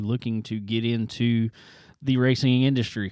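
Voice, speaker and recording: A man's dark, mellow voice at medium pitch, with a Southern US accent, on a very clean recording with a silent background. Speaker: racing podcast host. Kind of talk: casual chat. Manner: laid-back, laughs often.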